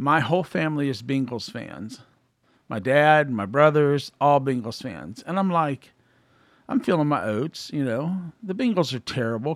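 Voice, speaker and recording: Lively intonation from a fairly high-pitched man with a Midwestern American accent, on a very clean recording with a silent background. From Columbus, Ohio, US Midwest. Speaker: podcast co-host. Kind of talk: casual chat. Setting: studio.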